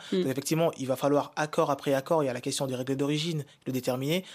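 A man speaks at a very fast pace and a medium pitch. His intonation stays fairly even in a very clean recording with a silent background. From DR Congo, Kinshasa. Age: young. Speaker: business consultant. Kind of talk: radio panel discussion. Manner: halting.

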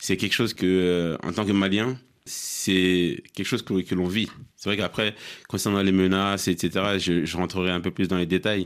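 In a very clean recording with a silent background, a man with a very deep, low pitch talks at a fairly slow pace with fairly even intonation. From Mali. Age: young. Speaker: blogger. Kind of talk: studio panel discussion.

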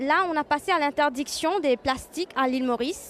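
A woman with a high-pitched voice talks while background noise is clearly heard. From Mauritius. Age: young. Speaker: environmental engineering researcher. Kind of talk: interview.

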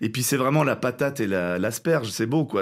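Lively intonation marks a man's very fast speech. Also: very clean recording, silent background. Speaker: actor and co-author of a stage show. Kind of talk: interview. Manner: halting with repetitions.

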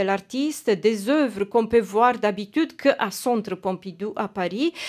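A woman speaks at a fairly slow pace in a fairly high pitch with a Romanian accent. The recording is very clean, with a silent background. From Romania, Timisoara. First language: Romanian (speaking French). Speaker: journalist. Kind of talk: radio news report. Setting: studio.

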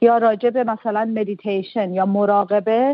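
Her intonation stays monotone and flat. This woman's voice rests at a medium pitch. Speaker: literary translator and poet. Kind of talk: radio interview.

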